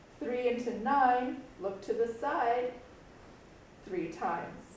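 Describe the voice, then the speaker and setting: Recorded with audible room echo and noticeable background noise, a woman talks very slowly in a high pitch with ordinary pitch variation. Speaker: schoolteacher. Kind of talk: tutorial. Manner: casual.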